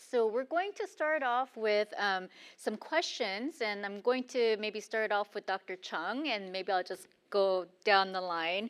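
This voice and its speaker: On a very clean recording with a silent background, a woman with a fairly high pitch speaks at a fairly slow pace with ordinary pitch variation. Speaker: panel moderator. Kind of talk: panel Q&A moderation. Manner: loud.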